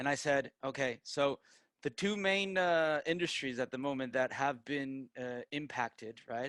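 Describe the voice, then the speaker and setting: A man speaks at a moderate pace in an American accent, his pitch medium. The sound is dry and close, with no echo. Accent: American-sounding English. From Peru, raised in Tampa, Florida (US). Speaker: digital marketer and project founder. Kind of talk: online presentation to students. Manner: halting, many fillers and restarts.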